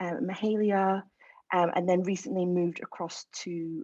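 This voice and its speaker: This woman has a dark, mellow tone at a medium pitch, with an Edinburgh accent, recorded dry and close with no echo. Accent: Scottish (Edinburgh). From Scotland, Edinburgh. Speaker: music industry A&R executive. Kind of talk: panel discussion.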